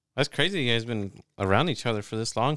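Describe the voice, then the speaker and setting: Speaking very fast with an American accent, a man is heard on a very clean recording with a silent background. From Texas. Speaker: podcast host. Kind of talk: casual chat.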